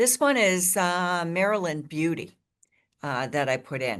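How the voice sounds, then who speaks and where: An ordinary speaking voice with ordinary pitch variation at a fairly slow pace, over a quiet background. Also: woman. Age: 60s. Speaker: gardening instructor. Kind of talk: lecture. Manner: casual with filler words.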